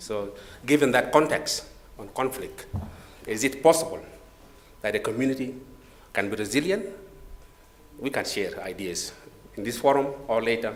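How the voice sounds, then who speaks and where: A man talks at a moderate pace and a medium pitch, his intonation lively and his loudness swinging widely. Long, frequent pauses break it up, and the room echo is audible. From South Sudan. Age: 50s. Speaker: government disaster management official, panelist. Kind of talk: conference presentation. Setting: conference room with audience. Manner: halting, many fillers.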